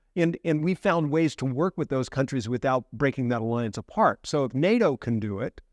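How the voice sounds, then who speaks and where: A medium-pitched man with an American accent, at a moderate pace with hardly any pauses, in a dry, close sound with no echo against a quiet background. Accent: American, noticeable. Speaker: professor. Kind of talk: interview. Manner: repetitive false starts.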